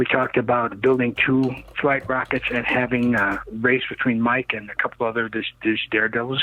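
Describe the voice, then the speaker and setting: Noticeable background noise sits behind a man speaking at a fairly quick pace. He has a medium-pitched voice and an American accent. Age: 60s. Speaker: rocket and land speed car builder. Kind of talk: interview. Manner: animated.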